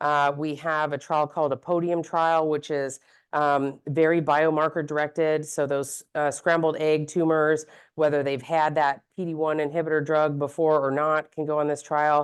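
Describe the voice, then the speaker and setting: A woman's very deep, low voice, monotone and flat, against a quiet background. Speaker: physician, gynecologic oncologist. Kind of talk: medical presentation to an audience. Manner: fast; casual with many fillers.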